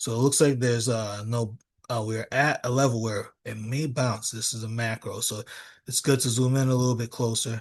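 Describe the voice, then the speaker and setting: A man with a medium pitch speaks in a monotone, flat intonation at a moderate pace. His voice is somewhat breathy over a quiet background. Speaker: trading educator. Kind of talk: live trading tutorial. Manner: halting, many fillers.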